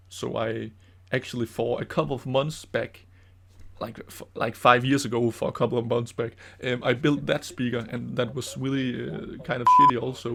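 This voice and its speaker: The speaker has a Danish accent. The pace is moderate. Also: man. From Denmark. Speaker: DIY maker and YouTuber. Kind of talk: casual commentary over own old video. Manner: halting, many fillers.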